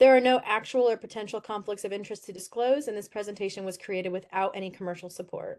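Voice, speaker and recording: Barely pausing, a woman talks very fast with fairly even intonation and big swings in loudness. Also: medium pitch for a woman. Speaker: public health presenter. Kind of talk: lecture. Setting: online webinar.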